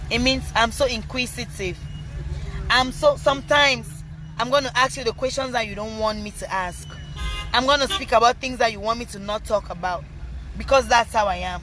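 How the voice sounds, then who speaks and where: With music playing behind her, a woman speaks at a fairly quick pace, broken by long, frequent pauses, her loudness swinging widely. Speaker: rapper and social media personality. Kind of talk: live stream Q&A. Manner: loud at times.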